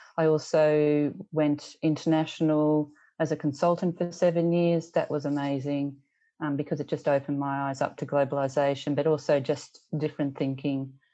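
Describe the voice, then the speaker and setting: A woman's very deep, low voice with an Australian accent, dark and mellow in tone, monotone and flat in intonation, at a moderate pace against a quiet background. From rural Australia. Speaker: teacher and education leader. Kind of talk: casual interview conversation.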